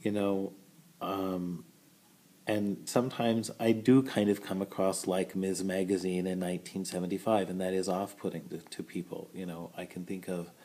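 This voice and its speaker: This man has a very deep, low voice with a dark, mellow tone, and he talks at a moderate pace. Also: fairly even intonation. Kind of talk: casual vlog monologue. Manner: loud, outspoken; halting, many fillers.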